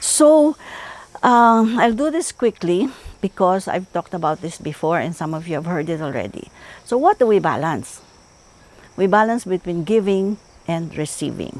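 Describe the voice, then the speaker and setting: A woman with a medium-pitched voice speaks at a moderate pace. Her pitch swings very widely, and she takes long, frequent pauses. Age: 70s. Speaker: psychologist. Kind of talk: talk.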